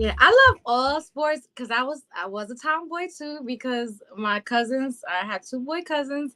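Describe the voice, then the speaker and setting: A woman uses a raised, projected voice at a high pitch, fairly slow and with hardly any pauses. Her loudness swings widely, and the sound is dry and close with no echo. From New York, the Bronx. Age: 40s. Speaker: boxing podcast host. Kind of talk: casual interview chat.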